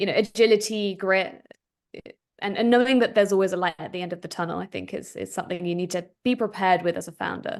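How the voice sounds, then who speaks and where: Against a quiet background, a woman with an American accent speaks very fast at a medium pitch, showing vocal fry, ordinary pitch variation and big swings in loudness. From Philadelphia area, US. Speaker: tech startup founder and CEO. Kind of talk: interview.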